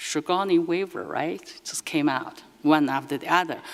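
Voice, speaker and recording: With a Chinese accent, a woman speaks fairly slowly in a fairly low voice. Her intonation is lively. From China. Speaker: artist. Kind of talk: lecture. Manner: halting.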